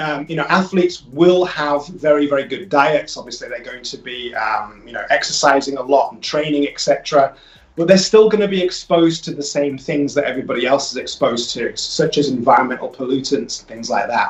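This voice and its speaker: Over noticeable background noise, a man with a fairly high pitch talks at a fairly quick pace with hardly any pauses, ordinary pitch variation and big swings in loudness. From northern England, Leeds. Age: 40s. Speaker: holistic health business owner. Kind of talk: radio interview. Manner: hesitant, many fillers.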